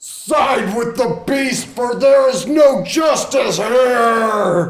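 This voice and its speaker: A put-on character voice, shouting at a fairly high pitch and a very slow pace. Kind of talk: declamatory. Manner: loud, bolstering.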